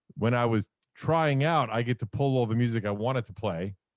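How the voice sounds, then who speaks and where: Here a man speaks at medium pitch with ordinary pitch variation. The recording is very clean and silent behind him, with a dry, close sound and no echo. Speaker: radio host and podcaster. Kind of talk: casual interview chat. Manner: boisterous.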